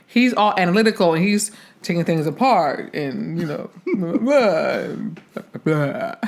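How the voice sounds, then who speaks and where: A woman with an American accent uses an unremarkable speaking voice at a medium pitch. The recording is very clean, with a silent background. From Philadelphia. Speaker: actress. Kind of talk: casual chat.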